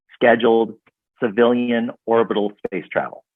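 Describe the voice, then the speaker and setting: A man with an American accent and an ordinary speaking voice talks at a moderate pace in a medium pitch. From US Midwest, south suburbs of Chicago. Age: 60s. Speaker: network marketing entrepreneur and author. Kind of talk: casual interview chat.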